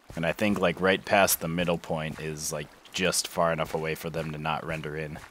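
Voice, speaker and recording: Noticeable background noise surrounds a man whose very deep, low voice moves at a moderate pace. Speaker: gaming YouTuber. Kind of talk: let's play commentary. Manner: casual, hesitant with fillers.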